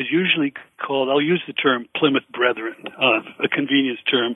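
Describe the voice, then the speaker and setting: A man with an ordinary speaking voice talks at a fairly quick pace, his pitch fairly high with ordinary variation. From Minnesota, Swedish-American. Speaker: podcast guest, history professor.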